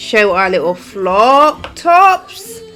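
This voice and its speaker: Music plays in the background as a woman speaks. Her pitch is fairly high and swings very widely. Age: 30s. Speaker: podcast co-host, hair and beauty teacher. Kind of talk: casual chat. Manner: animated.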